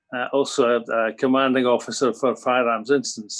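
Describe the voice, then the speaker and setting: A man talks at a very fast pace with a Scottish accent. His intonation is monotone and flat over a quiet background. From Scotland. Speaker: police officer. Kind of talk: public meeting testimony.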